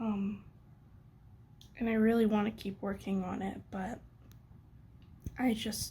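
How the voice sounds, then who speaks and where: With vocal fry and a medium pitch, a woman talks very slowly in fairly even intonation. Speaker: artist vlogger. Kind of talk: casual vlog talk.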